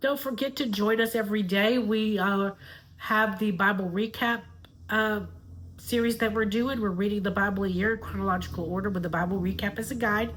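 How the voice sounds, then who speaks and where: In a Southern US accent, a woman speaks at a medium pitch with fairly even intonation. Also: fairly quick pace. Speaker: YouTuber and Avon seller. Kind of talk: casual video outro; reading aloud.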